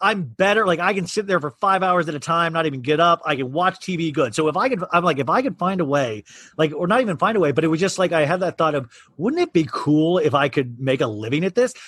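Talking at a very fast pace, a high-pitched man with an American accent uses lively intonation. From Kansas. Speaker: actor and podcaster. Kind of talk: casual chat.

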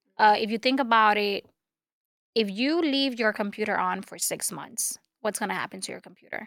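A woman with a Spanish accent speaks at a fairly high pitch with ordinary pitch variation. Her loudness swings widely. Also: moderate pace. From Dominican Republic. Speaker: media personality and self-help author. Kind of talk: casual interview.

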